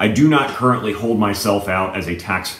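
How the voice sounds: Speaking at a moderate pace, a man with a low pitch has a fairly bright tone.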